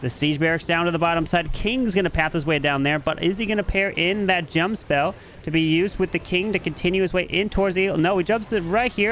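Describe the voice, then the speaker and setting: This man's voice sits high in pitch. He talks at a fairly quick pace. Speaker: esports caster. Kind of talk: live commentary. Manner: fast; animated.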